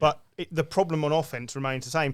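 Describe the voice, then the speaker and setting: Speaking in a British accent, a man goes at a fairly quick pace with a fairly high pitch. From Britain. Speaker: sports podcast host. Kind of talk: casual chat. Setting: around a table at a home.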